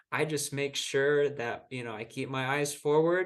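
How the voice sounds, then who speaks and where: At a fairly slow pace, a man with an ordinary speaking voice talks at a medium pitch with ordinary pitch variation. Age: 20s. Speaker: marathon runner. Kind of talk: interview answer.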